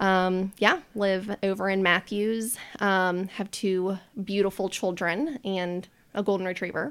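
A woman with an American accent speaks in a normal speaking voice at medium pitch and a fairly slow pace. Her intonation is fairly even, and the recording is very clean with a silent background. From US South, Charlotte, North Carolina. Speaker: behavior analysis business owner. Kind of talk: casual chat.

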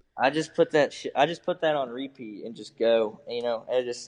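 A man with a normal speaking voice and an American accent talks at a fairly quick pace in a medium pitch. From eastern Iowa (Muscatine). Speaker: cattle fitter and artist. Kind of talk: casual chat.

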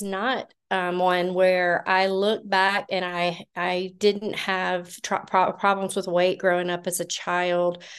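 A woman with a Southern US accent, medium pitch and a very slow pace, against a quiet background. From US South, Georgia. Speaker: nurse and cattle farmer, recovery speaker. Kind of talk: recovery meeting share. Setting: video call meeting.

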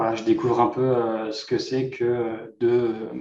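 Very slowly, a man talks. His tone is dark and mellow. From Normandy, France. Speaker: entrepreneur. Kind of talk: interview.

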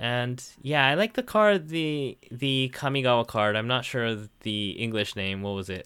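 A man with a Japanese accent talks at a fairly slow pace in a bright, sharp tone with ordinary pitch variation. The recording is very clean, with a silent background. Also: medium pitch for a man. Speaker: game judge and co-host. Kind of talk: casual chat.

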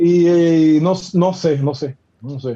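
This man's voice sits high for a man, with a dark, mellow tone and ordinary pitch variation. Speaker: professional basketball player. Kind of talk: casual chat.

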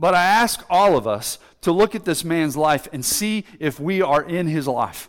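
Loud and lively in intonation, a man speaks at a high pitch. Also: fairly slow pace. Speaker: pastor. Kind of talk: sermon. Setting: church.

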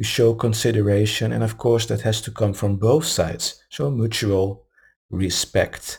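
Somewhat breathy man's voice at a medium pitch. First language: not English. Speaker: meditation group host. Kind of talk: live podcast talk on love. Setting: live-streamed recording. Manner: halting, with stumbles.

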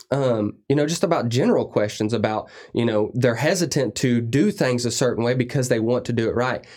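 Using an unremarkable speaking voice at a medium pitch, a man talks at a fairly quick pace with hardly any pauses, very even loudness and ordinary pitch variation. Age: 30s. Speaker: industrial service technician and lubrication consultant. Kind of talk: casual interview.

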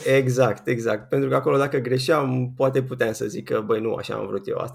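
This man talks at a fairly quick pace in a medium pitch, his intonation fairly even. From Romania, Ilfov county near Bucharest. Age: 20s. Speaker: software developer. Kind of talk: casual interview. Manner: halting, many fillers.

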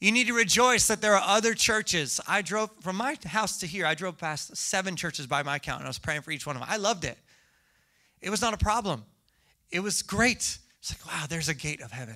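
A man's raised, projected voice, high in pitch, animated and bright and sharp in tone, with lively intonation at a fairly quick pace on a very clean recording with a silent background. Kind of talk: sermon. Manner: animated, joking, audience-interactive.

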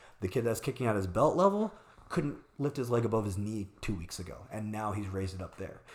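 A very fast, somewhat breathy man with an American accent, fairly low in pitch with ordinary pitch variation. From Arizona, US. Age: 40s. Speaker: martial arts instructor and studio owner. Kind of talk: casual interview chat.

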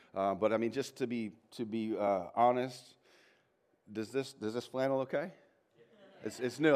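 This man talks at a fairly quick pace in a medium pitch. His pitch varies in an ordinary way. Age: middle-aged. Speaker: pastor. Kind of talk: sermon. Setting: church with congregation. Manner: halting.

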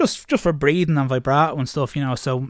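A man speaks very fast with an Irish accent. His intonation is flat and monotone. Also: very clean recording, silent background. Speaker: singer in heavy metal bands. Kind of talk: casual interview chat.

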